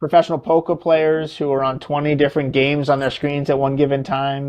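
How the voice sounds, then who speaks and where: At a fairly quick pace, a man with a fairly high pitch speaks in a monotone, flat way. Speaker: neuro-optometrist. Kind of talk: podcast interview. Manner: fast.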